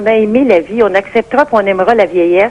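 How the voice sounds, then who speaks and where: A woman talks with a fairly high pitch. Noticeable background noise runs behind her. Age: 60s. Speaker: caller. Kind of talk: radio call-in opinion.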